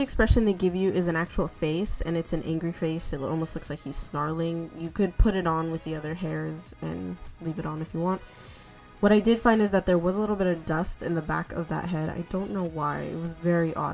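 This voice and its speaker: A woman with fairly even intonation, music in the background. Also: fairly low pitch for a woman, fairly quick pace. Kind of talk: casual unboxing talk to camera.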